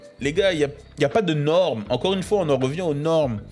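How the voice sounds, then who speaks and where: A man talks at a fairly quick pace in an animated tone with lively intonation. Music plays in the background. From Paris region, France (Créteil). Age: 20s. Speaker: podcast host. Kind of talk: motivational monologue. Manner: animated, casual slang.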